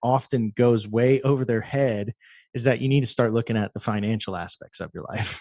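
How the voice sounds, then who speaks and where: A man's normal speaking voice with an American accent, at a moderate pace with ordinary pitch variation, in a dry, close sound with no echo and a quiet background. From Texas, Houston. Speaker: web3 developer and musician. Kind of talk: casual interview.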